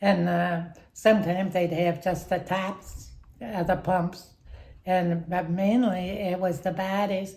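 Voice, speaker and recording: A woman's medium-pitched, dark, mellow voice, somewhat breathy and monotone with flat intonation, at a very slow pace. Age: 80s+. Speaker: retired factory worker. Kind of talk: interview answer.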